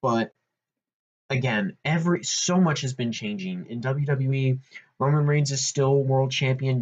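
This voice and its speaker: Somewhat breathy in tone, a man's voice sits at medium pitch. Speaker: wrestling podcast host. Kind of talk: solo podcast commentary. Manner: animated.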